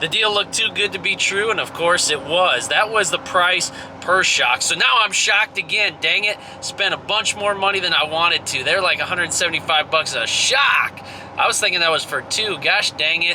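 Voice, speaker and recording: The voice is animated, with ordinary pitch variation and very even loudness at a moderate pace. Noticeable background noise can be heard. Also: man, high pitch for a man. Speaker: truck owner doing DIY repair review. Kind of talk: casual DIY tutorial vlog. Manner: casual, animated.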